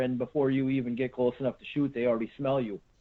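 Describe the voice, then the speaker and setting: A man with an American accent, medium pitch and a very fast pace. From Central Wisconsin. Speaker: deer hunter, tracker. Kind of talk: podcast interview. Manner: casual, many fillers and repeats.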